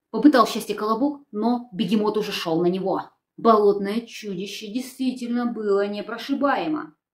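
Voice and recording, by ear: Someone is reading aloud in a natural voice, and nothing much is heard behind it.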